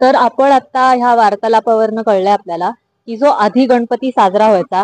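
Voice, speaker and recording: A woman speaks at a fairly high pitch with ordinary pitch variation. She has an unremarkable speaking voice. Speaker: reporter, street interviewer. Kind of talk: interview question, news-style intro.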